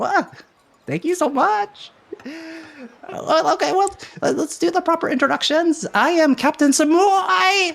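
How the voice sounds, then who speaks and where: Putting on a character voice, a man speaks at an extremely high pitch with long, frequent pauses. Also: moderate pace. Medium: actual play. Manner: excitable, exclamatory, repetitive.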